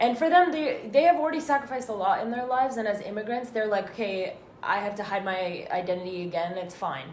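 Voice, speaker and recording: A woman with an Arabic accent speaks fairly quickly at a medium pitch, with noticeable background noise and audible room echo. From Northern California (Danville, East Bay). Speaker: student podcaster. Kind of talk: casual chat. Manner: halting.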